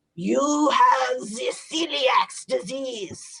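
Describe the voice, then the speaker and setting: A put-on character voice delivers its lines in a strong German accent. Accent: thick German. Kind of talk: formal, clipped.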